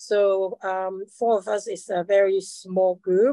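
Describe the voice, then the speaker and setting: A dark, mellow tone at a very slow pace over a quiet background. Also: woman. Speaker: video artist. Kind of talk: panel presentation. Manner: halting.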